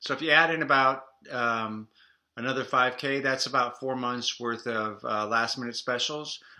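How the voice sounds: A man speaks at a fairly slow pace in a bright, sharp tone with ordinary pitch variation, and the room echo is audible.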